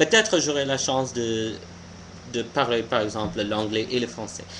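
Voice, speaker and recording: Speaking fairly slowly, this man has an American accent. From US, Pennsylvania. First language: English (speaking French). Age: 20s. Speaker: vlogger. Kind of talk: casual opinion vlog monologue. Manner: halting, many hesitations and restarts.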